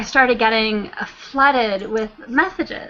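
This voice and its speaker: Over noticeable background noise, a woman with a high pitch speaks fairly slowly with lively intonation. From Canada. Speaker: flat earth video creator and translator. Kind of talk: casual chat.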